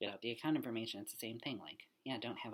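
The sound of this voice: The tone is fairly bright, with a slightly husky edge.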